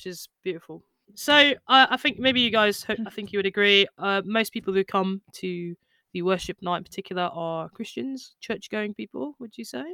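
A woman's medium-pitched voice has a bright, sharp tone and big swings in loudness, sounding dry and close with no echo. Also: lively intonation, moderate pace. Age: 20s. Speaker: podcast host, worship musician. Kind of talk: casual chat.

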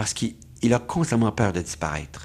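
The man's tone is dark and mellow. He talks at a fairly quick pace with lively intonation. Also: very clean recording, silent background. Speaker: doctor and author. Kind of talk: interview.

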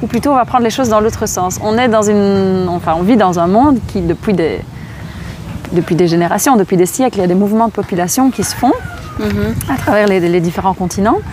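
Amid noticeable background noise, a woman at medium pitch speaks at a fairly quick pace with ordinary pitch variation. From Belgium. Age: 30s. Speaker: charity founder, former primary school teacher. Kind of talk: interview. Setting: outdoors in a park. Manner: animated.

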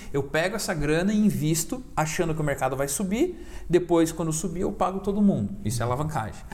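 Lively intonation runs at a very fast pace with hardly any pauses, amid audible room echo and noticeable background noise. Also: man, high pitch for a man. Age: 20s. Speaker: crypto investor. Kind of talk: casual chat. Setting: studio.

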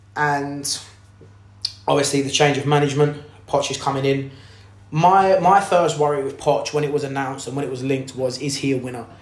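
Amid audible room echo and noticeable background noise, a man with a fairly high pitch speaks at a fairly quick pace with fairly even intonation and long, frequent pauses. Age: 20s. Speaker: football podcast host. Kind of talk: solo podcast monologue. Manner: hesitant, many fillers.

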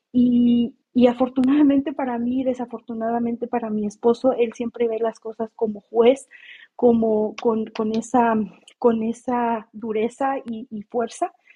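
A woman's fairly high pitch, monotone and flat, at a fairly slow pace. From Mexico. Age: 30s. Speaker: audio room participant. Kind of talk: personal testimony.

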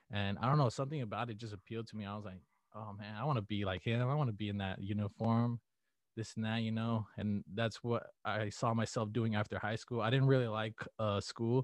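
With an American accent, a man talks in an ordinary speaking voice at medium pitch and a fairly quick pace, intonation fairly even, over a quiet background in a dry, close sound with no echo. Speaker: college student. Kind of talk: interview. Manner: casual, many fillers.

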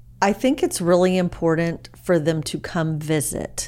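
A woman with a Texan accent speaks at a very slow pace. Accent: Texan American. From Dallas, Texas. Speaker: real estate agent. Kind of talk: casual chat.

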